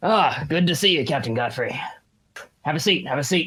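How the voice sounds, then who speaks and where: This is a gruff, put-on character voice. It moves at a moderate pace. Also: man, fairly high pitch for a man. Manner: cool, welcoming.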